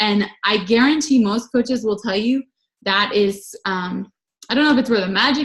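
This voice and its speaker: Pitch moves with ordinary variation. There is a somewhat breathy edge to it. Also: woman. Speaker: health and fitness coach. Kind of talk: team coaching call talk. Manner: fast.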